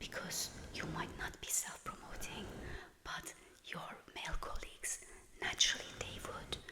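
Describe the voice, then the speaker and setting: A woman whispers in a calm tone at a fairly slow pace, with noticeable background noise behind her. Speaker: working corporate professional. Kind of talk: soft-spoken ASMR talk to camera about women at work. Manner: whispered, soft-spoken, calm.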